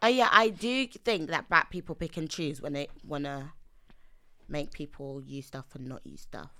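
With a London accent, the speaker has a bright, sharp tone and lively intonation at a moderate pace, recorded very cleanly against a silent background. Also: woman, very deep, low pitch for a woman. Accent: London English (Multicultural London). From East London, Nigerian heritage. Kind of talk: casual chat.

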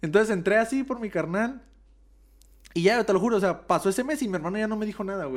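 A man speaks at a very fast pace with very wide pitch swings in a very clean recording with a silent background. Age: 20s. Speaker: martial artist. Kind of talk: casual chat.

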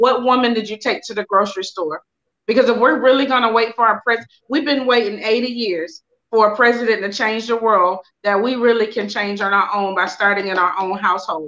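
Using a normal speaking voice, a woman talks at a fairly quick pace with a fairly high pitch and ordinary pitch variation. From North and South Carolina. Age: 40s. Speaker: publisher and author. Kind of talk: panel discussion. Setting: video call.

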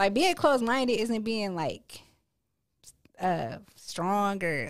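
On a very clean recording with a silent background, a woman with an American accent speaks in a plain, everyday voice, medium in pitch with lively intonation. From Akron, Ohio. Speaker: poet and dental hygienist. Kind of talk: casual interview chat.

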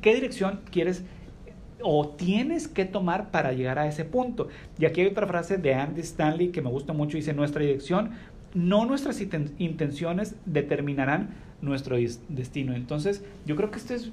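Audible room echo surrounds a man whose high-pitched speech has lively intonation. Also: moderate pace. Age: 30s. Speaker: podcast host. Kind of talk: casual chat.

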